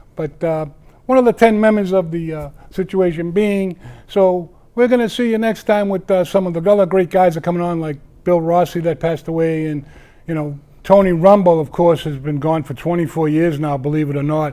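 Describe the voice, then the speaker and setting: A man with a Boston accent talks at a fairly quick pace. His voice is high-pitched, dark and mellow, with ordinary pitch variation. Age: 60s. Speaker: wrestling show host, former wrestler. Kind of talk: casual local TV talk show. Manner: rambling with many fillers.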